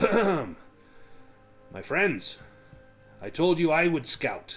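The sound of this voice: A man speaks in a put-on character voice, gruff and pitched high for a man. He talks at a very slow pace over faint background music.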